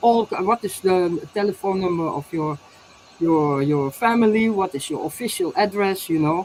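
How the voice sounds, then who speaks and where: A woman speaks at a moderate pace with a Dutch accent. Her pitch is medium, with ordinary pitch variation. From Netherlands. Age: 60s. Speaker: inventor and alternative healer. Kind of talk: interview testimony. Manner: halting, many repetitions.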